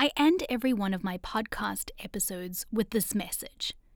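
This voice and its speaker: Somewhat breathy and fairly high in pitch, a woman speaks with lively intonation on a very clean recording with a silent background. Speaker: podcast host and reporter. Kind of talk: scripted narration.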